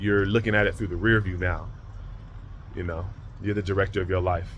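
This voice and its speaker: A man's fairly low, somewhat breathy voice at a fairly quick pace, monotone and flat, with audible room echo. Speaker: spiritual vlogger. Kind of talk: motivational monologue. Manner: fast.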